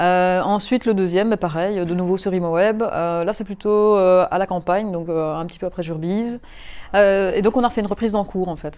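This woman's voice sits at medium pitch. Her intonation is fairly even and her pace moderate. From Belgium, Mons. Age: 30s. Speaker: property investor. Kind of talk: interview. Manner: halting.

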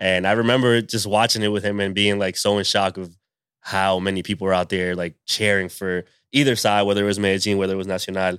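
A man with an American accent at a very fast pace, fairly low in pitch, his intonation monotone and flat, on a very clean recording with a silent background. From Rhode Island, US (Pawtucket). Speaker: sports journalist. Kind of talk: casual chat. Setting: backyard.

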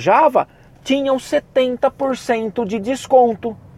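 An animated male voice, dry and close with no echo. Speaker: podcast host and university professor. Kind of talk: pep talk. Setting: solo podcast. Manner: animated, fired-up and emphatic, casual with slang and swearing.

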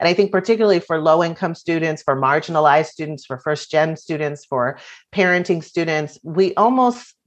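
A woman has a normal speaking voice with a fairly low pitch and ordinary pitch variation. She speaks at a moderate pace against a quiet background. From Virginia. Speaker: nonprofit founder and author. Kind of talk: interview.

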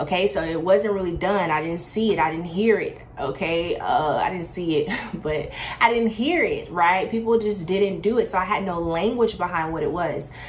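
Audible room echo and noticeable background noise surround a woman's medium-pitched, animated voice with ordinary pitch variation. She talks at a moderate pace with hardly any pauses. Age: 20s. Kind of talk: faith testimony monologue.

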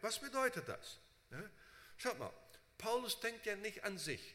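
In a raised, projected voice with a bright, sharp tone, the speaker uses lively intonation at a moderate pace. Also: man. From Brazil. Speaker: preacher and Bible seminary teacher. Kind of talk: sermon. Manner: frequent fillers, halting.

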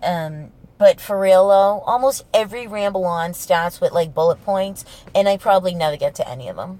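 An animated woman with a strong Boston accent, medium pitch, ordinary pitch variation and a moderate pace. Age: 30s. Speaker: podcast host. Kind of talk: casual solo podcast ramble, profane. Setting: in a parked car used as a studio. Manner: animated, humorous, profane.

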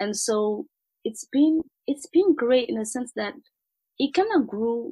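A woman's fairly high voice at a fairly slow pace, with very wide pitch swings, in a dry, close sound with no echo. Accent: French. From Ivory Coast, Abidjan. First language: French. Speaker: food blogger and entrepreneur. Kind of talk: interview conversation.

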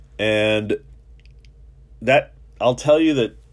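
Talking at a very slow pace, a man with medium pitch and an American accent keeps his intonation lively. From New York City. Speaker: personal injury lawyer, podcast host. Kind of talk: solo podcast monologue. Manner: casual, many filler words.

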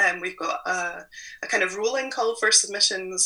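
Here a woman speaks in a Scottish accent. Her pace is moderate. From Scotland. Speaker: magazine publisher. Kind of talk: interview conversation.

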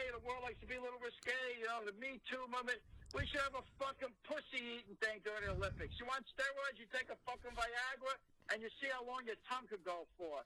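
Extremely high pitch from a man in a raised, projected voice, very fast, with a bright, sharp tone and fairly even intonation. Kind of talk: comedic rant. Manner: loud, ranting and profane.

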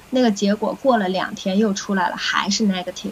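A woman speaks over noticeable background noise. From Beijing, China. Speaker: recovered COVID patient sharing experience. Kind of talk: interview conversation.

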